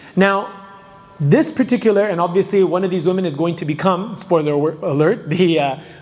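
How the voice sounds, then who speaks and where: Over noticeable background noise, a man speaks in a high voice. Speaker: Islamic lecturer. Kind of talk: lecture. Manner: loud. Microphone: too quiet at first, then adjusted.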